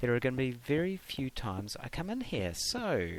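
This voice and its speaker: Swinging very widely in pitch around a medium level, a man speaks with a New Zealand accent. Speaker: gaming YouTuber. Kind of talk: casual gameplay commentary. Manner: hesitant, many ums and uhs.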